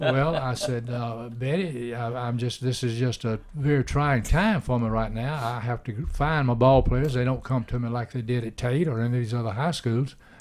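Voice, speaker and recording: A man with an Alabama accent talks at medium pitch with fairly even intonation. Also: moderate pace. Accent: Southern US (Alabama). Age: 80s+. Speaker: retired baseball coach. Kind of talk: casual chat. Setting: radio studio.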